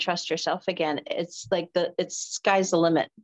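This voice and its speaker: In a quiet setting, a woman talks at a moderate pace and a medium pitch. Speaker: spiritual podcast host. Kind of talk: interview. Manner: animated, laughs often. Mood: warm, heartfelt. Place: home room. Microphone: webcam.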